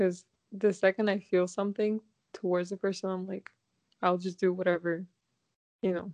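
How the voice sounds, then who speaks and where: Long, frequent pauses break up a woman's speech. Her intonation is monotone and flat, and the sound is dry and close with no echo. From Kazakhstan. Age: 20s. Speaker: podcast guest. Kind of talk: casual chat.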